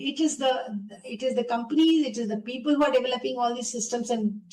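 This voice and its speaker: Her pitch is high, and this woman's voice has ordinary pitch variation. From India, Uttar Pradesh near Varanasi. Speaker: women's rights activist. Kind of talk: interview.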